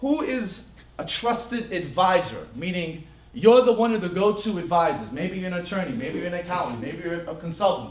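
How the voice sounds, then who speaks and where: A man's high-pitched voice with an American accent and lively intonation, at a fairly quick pace, with audible room echo and noticeable background noise. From New Jersey. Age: 30s. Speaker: business workshop presenter. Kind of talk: business seminar talk to live audience. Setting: stage with audience.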